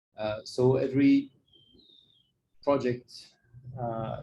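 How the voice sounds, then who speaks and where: A man's somewhat breathy, dark and mellow voice at medium pitch, with monotone, flat intonation. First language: not English. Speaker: NGO project worker giving a talk. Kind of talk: presentation. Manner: halting, many fillers.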